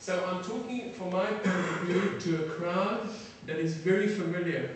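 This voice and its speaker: A man with a high voice speaks at a fairly slow pace and with fairly even intonation. Noticeable background noise and audible room echo are present. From Israel, born in South Africa. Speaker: military defence attaché. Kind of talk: lecture. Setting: lecture hall with audience. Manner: halting, many fillers.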